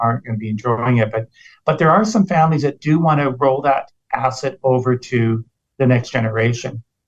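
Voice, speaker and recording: Speaking at a moderate pace in an unremarkable speaking voice, a man with a Canadian accent keeps a medium pitch with ordinary pitch variation. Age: 60s. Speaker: podcast host. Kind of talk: casual interview.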